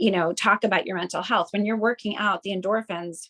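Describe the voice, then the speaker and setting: A woman's medium-pitched voice comes through with a dry, close sound and no echo. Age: 50s. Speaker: podcast co-host and yoga teacher. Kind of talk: casual chat. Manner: fast; animated.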